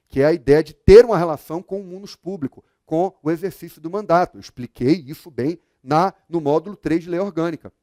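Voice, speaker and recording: Recorded dry and close with no echo, a man speaks at a moderate pace in a fairly high voice with a dark, mellow tone and ordinary pitch variation. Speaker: law exam prep teacher. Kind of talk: lecture.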